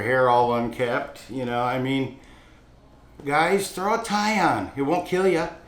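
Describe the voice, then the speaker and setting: A man talks at a fairly slow pace and medium pitch, with lively intonation. The room echo is audible, and background noise is noticeable. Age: 60s. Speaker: restaurant owner. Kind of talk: interview talk about hiring. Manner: casual, with fillers and restarts.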